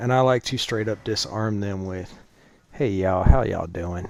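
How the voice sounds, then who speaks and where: A man with an American accent at a moderate pace. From Texas, Dallas. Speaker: gaming streamer, Marine veteran and hospital worker. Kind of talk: casual live-stream chat.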